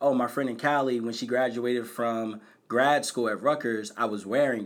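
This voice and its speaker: Speaking in an American accent at a moderate pace, a man with a medium pitch has an unremarkable speaking voice. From Bristol, Pennsylvania (Philadelphia suburbs). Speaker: nonprofit founder, college access. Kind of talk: personal testimony.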